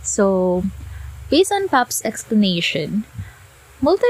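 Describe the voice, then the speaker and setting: A woman's very slow speech against noticeable background noise. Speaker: podcast host. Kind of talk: casual explanatory monologue.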